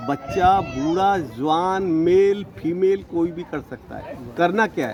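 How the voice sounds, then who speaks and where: Crowd noise fills the background. A man talks in a high pitch. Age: 60s. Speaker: network marketing leader. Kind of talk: interview. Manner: animated.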